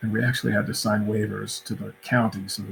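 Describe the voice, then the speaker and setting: A man's somewhat breathy voice at medium pitch. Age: 60s. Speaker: architect. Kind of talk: panel interview.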